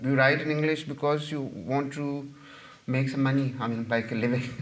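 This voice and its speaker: A man with a Punjabi accent, his pitch fairly high, and audible room echo around him. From Pakistan, Punjab. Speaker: novelist and journalist. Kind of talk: audience Q&A after a lecture. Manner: halting, many fillers and repetitions.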